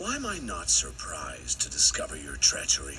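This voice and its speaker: A man performs a cartoonish character voice. Background noise is clearly heard. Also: fairly quick pace. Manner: arrogant, self-assured.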